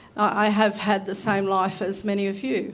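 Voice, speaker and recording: In an Australian accent, a woman speaks at a medium pitch. Her intonation is monotone and flat. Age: 60s. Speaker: election candidate. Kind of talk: public forum answer.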